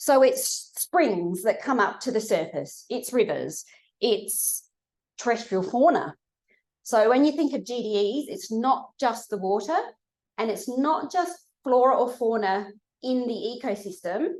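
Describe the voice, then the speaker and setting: With an Australian accent, a woman speaks at a high pitch. Her pitch swings very widely at a fairly slow pace. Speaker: research scientist giving a seminar. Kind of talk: lecture. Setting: lecture room with audience.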